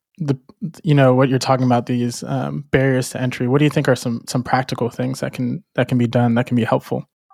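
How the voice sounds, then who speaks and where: A man with an ordinary speaking voice at medium pitch, fairly even intonation and a dry, close sound with no echo. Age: young. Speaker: podcast co-host and photographer. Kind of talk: casual chat.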